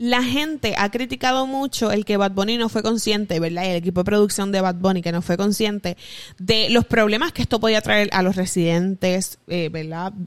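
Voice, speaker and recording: This woman has a normal speaking voice. She talks at a moderate pace. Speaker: podcast co-host. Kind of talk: casual chat.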